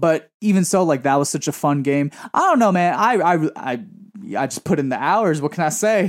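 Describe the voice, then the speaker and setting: In a very clean recording with a silent background, a man with an American accent and an unremarkable speaking voice speaks with lively intonation. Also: fairly high pitch for a man, moderate pace. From Queens, New York (Woodside). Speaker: singer. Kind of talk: casual chat.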